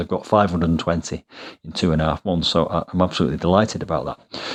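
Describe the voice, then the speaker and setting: A man with a British accent at a very fast pace, against a quiet background. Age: 50s. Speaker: fitness YouTuber. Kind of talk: vlog narration. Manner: hesitant, with fillers.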